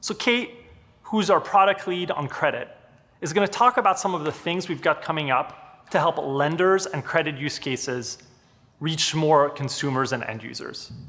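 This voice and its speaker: Speaking with a French accent, a man uses a fairly high pitch, lively intonation and a moderate pace. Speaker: product executive presenting. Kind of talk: product presentation.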